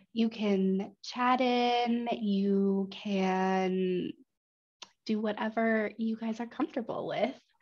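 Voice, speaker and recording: A very slow pace with fairly even intonation. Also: woman, fairly high pitch for a woman. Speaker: webinar presenter. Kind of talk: online seminar presentation. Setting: online webinar. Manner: many filler ums.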